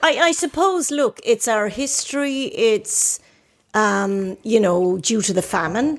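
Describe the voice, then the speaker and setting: On a very clean recording with a silent background, a woman with an Irish accent speaks very slowly at a fairly high pitch, her voice swinging very widely in pitch. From Ireland. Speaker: podcast host. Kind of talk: casual chat.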